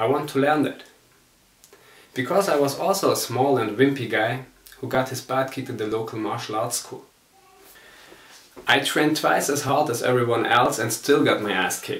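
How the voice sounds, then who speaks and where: Over noticeable background noise, a man with a German accent speaks at a moderate pace and medium pitch, with ordinary pitch variation. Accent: German accent, non-native English. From Germany. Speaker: martial arts instructor. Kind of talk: personal testimony.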